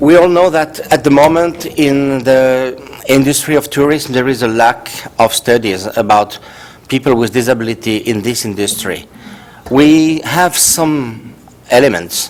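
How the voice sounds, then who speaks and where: Through noticeable background noise, a man with a French accent speaks at a medium pitch with ordinary pitch variation. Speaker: professor. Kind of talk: conference talk. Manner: halting.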